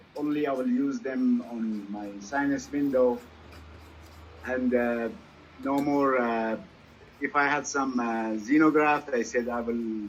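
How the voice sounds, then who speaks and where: An unremarkable speaking voice from a man, medium in pitch, at a fairly slow pace with fairly even intonation. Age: 60s. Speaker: dentist. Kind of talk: casual chat.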